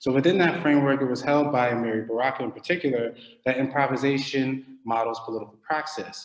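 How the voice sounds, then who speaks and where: Very fast male speech with an American accent, medium in pitch with ordinary pitch variation, amid noticeable background noise and audible room echo. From US, Philadelphia. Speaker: academic researcher. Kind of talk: lecture. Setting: online video call.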